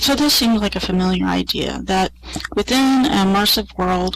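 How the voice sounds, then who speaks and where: A soft-spoken woman talks at a moderate pace over noticeable background noise. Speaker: college professor. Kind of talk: conference presentation. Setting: online virtual world presentation to audience. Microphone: quiet, listeners may need to turn up.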